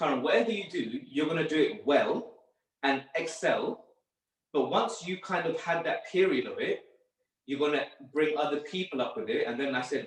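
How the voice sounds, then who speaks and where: A man talks at a moderate pace. He has a London accent. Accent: London English, multicultural. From northwest London. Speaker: sports therapist. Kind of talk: podcast interview. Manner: casual, hesitant with fillers.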